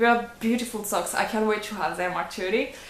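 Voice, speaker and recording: Heard with audible room echo, a woman in a French accent speaks at a fairly high pitch with ordinary pitch variation. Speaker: knitting podcaster and yarn dyer. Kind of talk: casual video podcast. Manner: hesitant, many fillers.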